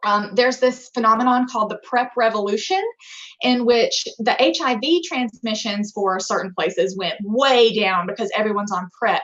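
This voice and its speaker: She has a normal speaking voice, fairly high in pitch, with an American accent. Her pace is moderate and her pitch varies in an ordinary way. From US South, rural Alabama. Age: 20s. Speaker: physician assistant. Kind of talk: lecture.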